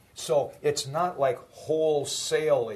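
A man's voice over noticeable background noise. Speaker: college professor. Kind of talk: lecture.

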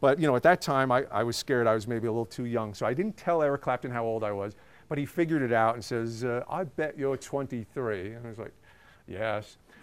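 Over a very clean recording with a silent background, a man talks at a very fast pace with a medium pitch and ordinary pitch variation. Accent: American. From New York City. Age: 40s. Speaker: music journalist and author. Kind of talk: talk to students.

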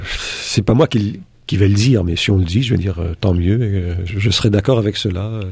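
Ordinary pitch variation and a moderate pace mark this somewhat breathy voice. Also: man, fairly low pitch for a man. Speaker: philosophy professor. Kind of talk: interview.

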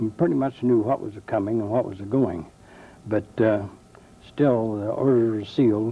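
This man has an American accent and a fairly low, somewhat breathy voice. He keeps fairly even intonation at a moderate pace. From US Midwest, eastern Indiana. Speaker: war veteran. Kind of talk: testimony. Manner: halting.

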